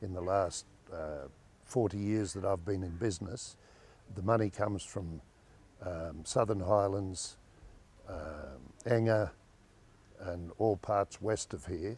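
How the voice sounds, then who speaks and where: The voice is somewhat breathy, with ordinary pitch variation. It moves at a very slow pace with long, frequent pauses. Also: man, fairly low pitch for a man. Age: 70s. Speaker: businessman. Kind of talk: interview. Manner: halting.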